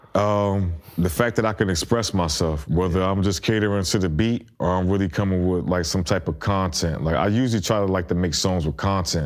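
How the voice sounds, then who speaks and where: On a very clean recording with a silent background, a man with an American accent talks at a fairly quick pace in a relaxed tone, his voice very deep and low with ordinary pitch variation. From South Carolina and New Jersey/Bronx (ages 10-20). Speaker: rapper. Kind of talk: casual interview chat. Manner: relaxed, filler-heavy street slang.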